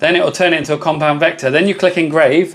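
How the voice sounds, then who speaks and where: With a British accent, a man speaks very fast in a high pitch with fairly even intonation over noticeable background noise. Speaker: laser engraving content creator. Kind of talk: live stream tutorial with viewer chat. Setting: live stream. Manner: casual, chatty.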